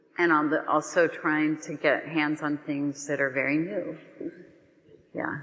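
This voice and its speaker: With an American accent, a woman speaks at a fairly slow pace in a very deep, low pitch with monotone, flat intonation and long, frequent pauses. Noticeable background noise is present. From Ohio (Columbus). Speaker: artist. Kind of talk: public Q&A conversation. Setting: auditorium stage with audience. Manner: hesitant, many fillers.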